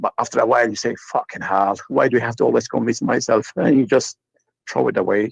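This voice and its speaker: A man talking at a very fast pace, with a dry, close sound and no echo. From Turkey. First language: Turkish. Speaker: caller. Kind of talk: casual chat. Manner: halting.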